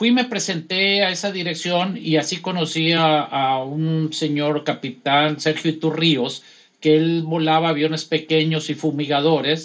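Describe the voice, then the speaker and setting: A man's normal speaking voice, fairly high in pitch and fairly slow, with very even loudness, fairly even intonation and a quiet background. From Los Mochis, Sinaloa, Mexico. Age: 60s. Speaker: airline pilot. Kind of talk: casual interview.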